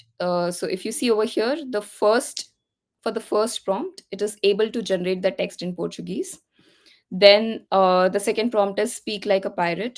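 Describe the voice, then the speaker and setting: On a very clean recording with a silent background, a woman of medium pitch with an Indian accent talks at a moderate pace with ordinary pitch variation. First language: Hindi. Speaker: tech speaker. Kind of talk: tutorial.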